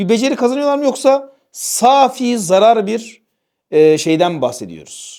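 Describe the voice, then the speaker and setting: A dark, mellow male voice with very wide swings in pitch. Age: 30s. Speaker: religious teacher and channel host. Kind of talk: casual discussion. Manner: hesitant with many fillers.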